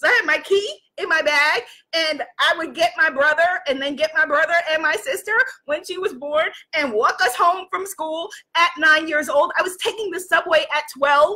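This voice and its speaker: A woman with an American accent speaks in a raised, projected voice at an extremely high pitch, with a bright, sharp tone. Her pace is moderate and her pitch varies in an ordinary way. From New York City. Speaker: life coach and live-stream host; life coach, live-stream host. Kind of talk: motivational livestream talk. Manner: animated. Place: home room. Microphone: webcam.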